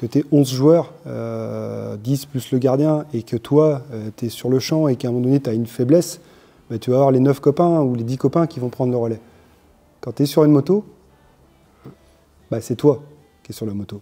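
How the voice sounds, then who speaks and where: At a moderate pace with long, frequent pauses, a man speaks in a medium pitch with ordinary pitch variation and a dark, mellow tone. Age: 40s. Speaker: business owner, parent of young rider. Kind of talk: interview.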